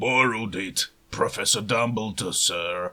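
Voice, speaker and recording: This male speaker adopts a put-on character voice that is raspy and medium in pitch. His delivery is fairly slow. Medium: read story. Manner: rough, ungrammatical speech.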